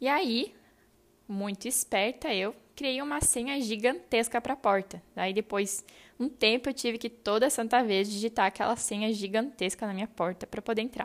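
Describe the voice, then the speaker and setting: Very clean recording with a silent background, a woman with a fairly high pitch and a normal speaking voice. She moves at a moderate pace with ordinary pitch variation. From southern Brazil, Rio Grande do Sul. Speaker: podcaster. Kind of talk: personal storytelling monologue.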